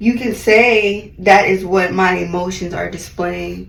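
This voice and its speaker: A woman's fairly slow speech carries over noticeable background noise. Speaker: beauty vlogger. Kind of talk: voiceover monologue. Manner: loud; animated.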